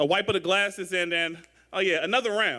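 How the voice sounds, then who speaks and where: In a St. Louis accent, the speaker talks at a fairly quick pace. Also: man. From St. Louis, Missouri. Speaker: spoken word poet. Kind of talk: poetry performance.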